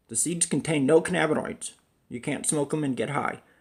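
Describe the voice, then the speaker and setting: A man's somewhat breathy voice at a moderate pace. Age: 50s. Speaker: cannabis educator, chronic pain patient. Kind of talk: casual video monologue. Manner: halting.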